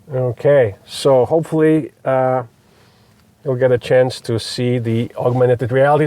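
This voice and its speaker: This man has a Polish accent and a fairly high pitch. His tone is dark and mellow. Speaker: electric car reviewer. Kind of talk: car review demonstration. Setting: in a car. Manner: hesitant, many fillers.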